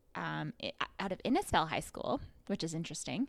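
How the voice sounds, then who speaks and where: On a very clean recording with a silent background, a woman with a Western Canadian accent speaks at a moderate pace in a bright, sharp tone. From Canada, rural Alberta. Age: 30s. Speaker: podcast co-host. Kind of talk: casual chat.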